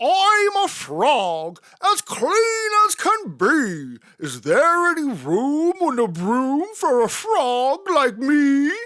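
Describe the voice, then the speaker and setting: A put-on character voice, high-pitched and croaky, swings very widely in pitch. It moves at a very slow pace with hardly any pauses. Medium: read story.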